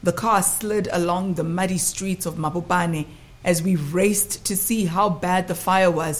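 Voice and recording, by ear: Someone is reading aloud in a natural voice.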